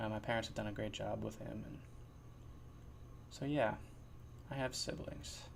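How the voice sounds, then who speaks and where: A man with an American accent at a moderate pace, with long, frequent pauses and audible room echo. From New Jersey. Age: 20s. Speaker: podcast host. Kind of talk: casual monologue. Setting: sitting in his chair at home. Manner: mumbling radio-host style, put-on.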